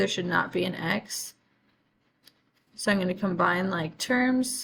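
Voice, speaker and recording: Long, frequent pauses break up a woman's vocal-fry speech, delivered at a moderate pace. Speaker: math teacher. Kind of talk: tutorial.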